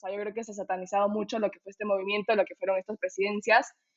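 Her pitch sits fairly high for a woman. The intonation stays fairly even. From Ecuador. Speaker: political science student. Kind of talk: casual panel discussion.

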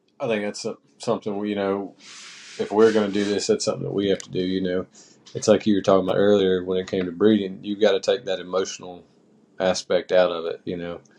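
Talking very fast in a North Carolina accent, a man keeps a flat, monotone delivery at a fairly low pitch with a dark, mellow tone. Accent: US Southern (North Carolina). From small-town North Carolina. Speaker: podcast co-host and hunting guide. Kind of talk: casual chat.

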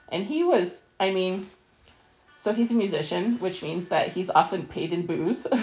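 A woman speaks at medium pitch and a moderate pace, with ordinary pitch variation. Her long, frequent pauses come through noticeable background noise. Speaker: cancer patient and translator. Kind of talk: casual interview. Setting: lying in bed at home.

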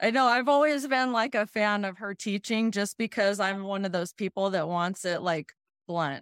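In an ordinary speaking voice, a woman speaks at a medium pitch and moderate pace with ordinary pitch variation, in a dry, close sound with no echo and a very clean recording, silent background. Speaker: podcast co-host. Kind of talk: casual chat.

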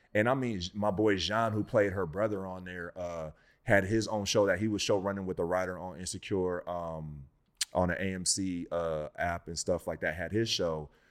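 A man's very deep, low voice at a moderate pace, fairly even in intonation, on a very clean recording with a silent background. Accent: American. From Inland Empire, Southern California. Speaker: actor. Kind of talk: casual chat.

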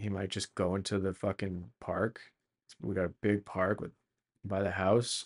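A man with a Canadian accent has a plain, everyday voice at a fairly low pitch and a fairly slow pace. The sound is dry and close with no echo, over a quiet background. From Canada, Calgary. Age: 30s. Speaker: solo podcaster. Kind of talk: solo monologue and reading aloud. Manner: casual with many fillers.

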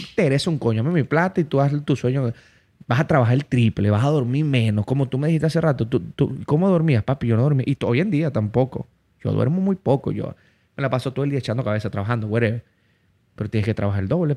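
A man's medium-pitched, dark, mellow voice in a Venezuelan Llanos accent, very fast, with ordinary pitch variation and a dry, close sound with no echo. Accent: Venezuelan Spanish (llanero). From Venezuela, Barinas (llanos region). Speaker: comedian and interviewer. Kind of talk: casual chat. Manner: animated.

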